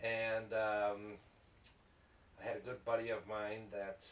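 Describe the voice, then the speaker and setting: With an American accent, a man speaks at a fairly low pitch. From Chicago area, Illinois (Downers Grove). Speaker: business owner and Marine veteran. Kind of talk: casual chat.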